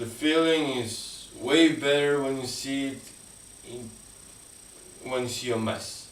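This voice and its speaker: A man talks at a very slow pace in a medium pitch with fairly even intonation, long, frequent pauses and big swings in loudness, amid noticeable background noise and audible room echo. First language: not English. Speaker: live streamer. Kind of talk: casual chat. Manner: halting.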